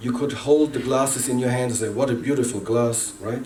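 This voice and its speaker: A man with a non-native accent and medium pitch speaks at a fairly quick pace with ordinary pitch variation, amid audible room echo and noticeable background noise. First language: not English. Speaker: workshop facilitator. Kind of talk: workshop presentation. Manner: halting.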